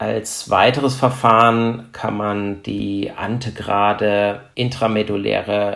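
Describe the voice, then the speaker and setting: This man talks at a very slow pace. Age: 40s. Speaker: trauma surgeon. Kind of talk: expert interview. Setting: remote recording over the internet.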